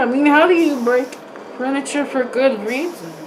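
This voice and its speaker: A high-pitched woman's voice with ordinary pitch variation, audible room echo and noticeable background noise. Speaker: vlogger reacting to videos. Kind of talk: reaction commentary. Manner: animated, sarcastic.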